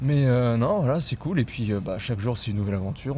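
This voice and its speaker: A man talks with ordinary pitch variation, and noticeable background noise can be heard. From New Caledonia. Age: 20s. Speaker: travel vlog companion. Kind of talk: casual chat.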